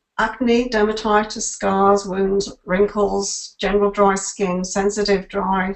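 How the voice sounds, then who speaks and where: A woman talks at a fairly slow pace in an unremarkable speaking voice. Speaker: product presenter. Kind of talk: webinar presentation. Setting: webinar call.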